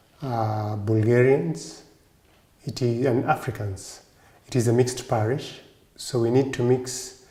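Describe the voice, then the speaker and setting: A man with a Kenyan accent at a medium pitch, very slow pace, long and frequent pauses, fairly even intonation, and noticeable background noise. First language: Kikuyu. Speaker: Orthodox priest and monk. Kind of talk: interview monologue. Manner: hesitant, with fillers.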